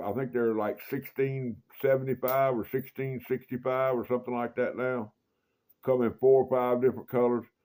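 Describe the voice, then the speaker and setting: A man with a Mississippi accent, medium pitch, and a dark, mellow tone, at a moderate pace. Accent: Southern US (Mississippi). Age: 60s. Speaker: knife collector YouTuber. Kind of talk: casual show-and-tell video. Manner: folksy, repetitive.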